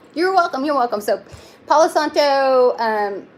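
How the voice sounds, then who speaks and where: A woman with a Texan accent speaks with lively intonation over noticeable background noise. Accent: Texan twang. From Texas. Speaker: tarot reader. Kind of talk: live-stream tarot reading. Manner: casual, halting with fillers.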